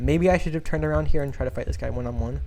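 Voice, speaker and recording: Audible room echo surrounds a man's dark, mellow voice, which carries vocal fry and very wide pitch swings. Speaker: gaming youtuber. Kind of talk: gameplay commentary. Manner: fast; casual, halting repetitions.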